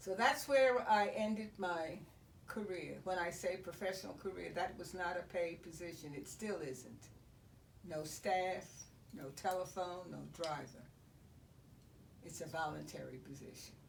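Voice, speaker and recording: Fairly slow speech from a woman with fairly low pitch, vocal fry and lively intonation. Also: big swings in loudness. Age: 80s+. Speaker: retired educator and former state board of regents member. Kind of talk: interview answer.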